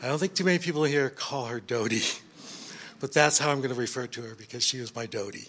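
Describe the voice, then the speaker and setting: Talking at a very fast pace, a man with an American accent keeps to a medium pitch. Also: ordinary pitch variation. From California. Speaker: grandson of the deceased. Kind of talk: eulogy.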